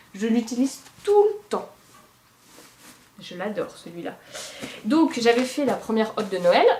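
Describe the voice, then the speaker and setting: Over noticeable background noise, a woman talks at a fairly slow pace with long, frequent pauses. Her pitch is fairly high with ordinary variation, and her loudness swings widely. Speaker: knitting podcaster. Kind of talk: casual monologue podcast. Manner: hesitant with many fillers.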